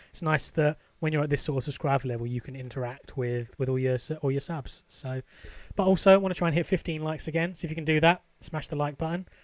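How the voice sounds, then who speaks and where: A man at a very fast pace, fairly high in pitch, with ordinary pitch variation. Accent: British. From UK. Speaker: gaming YouTuber. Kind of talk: gameplay commentary. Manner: casual, conversational.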